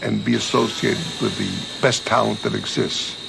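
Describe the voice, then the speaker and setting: There is audible room echo and noticeable background noise behind this man's voice. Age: 60s. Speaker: diamond dealer and cutting business owner. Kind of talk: documentary interview.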